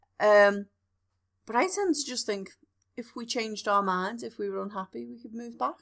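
In a Liverpool accent, a woman speaks with a fairly high pitch, an animated tone, lively intonation and big swings in loudness. Long, frequent pauses break her speech on a very clean recording with a silent background. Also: moderate pace. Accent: Scouse. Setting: home recording in front room. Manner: animated, joking.

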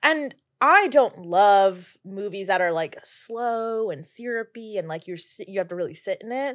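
An unremarkable speaking voice with an American accent moves at a fairly slow pace with hardly any pauses. The intonation is lively and the loudness swings widely. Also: woman, medium pitch for a woman. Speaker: guest. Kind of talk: casual chat.

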